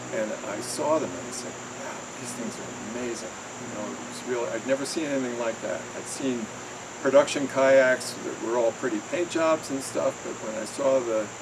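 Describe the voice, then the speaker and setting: Over noticeable background noise and audible room echo, a man of medium pitch talks at a moderate pace with ordinary pitch variation and big swings in loudness. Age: 70s. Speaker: kayak enthusiast. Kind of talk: casual interview.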